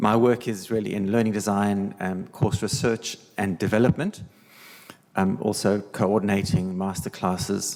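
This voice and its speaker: Speaking with a South African accent, a man uses fairly even intonation, a fairly low pitch and a moderate pace. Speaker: learning designer. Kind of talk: panel presentation.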